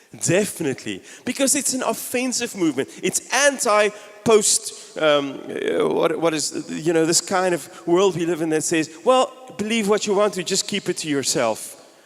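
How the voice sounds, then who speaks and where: Amid noticeable background noise, a man talks at a moderate pace in an animated tone. His pitch swings very widely. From South Africa (Gauteng, East Rand). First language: Afrikaans. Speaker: pastor. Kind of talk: sermon.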